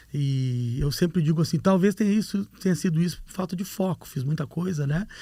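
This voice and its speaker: With a Rio Grande do Sul accent, a man speaks at a fairly quick pace in a high pitch, with ordinary pitch variation and a dark, mellow tone. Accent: gaúcho (Rio Grande do Sul). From Rio Grande do Sul, southern Brazil. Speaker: hair transplant doctor, professor. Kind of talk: podcast interview. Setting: studio.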